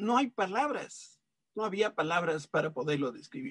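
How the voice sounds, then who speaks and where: This man's voice sits high in pitch, recorded with a dry, close sound and no echo. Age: 70s. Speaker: preacher. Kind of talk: sermon. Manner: halting.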